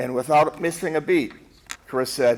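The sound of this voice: A man speaks at a medium pitch with ordinary pitch variation. His pace is fairly slow.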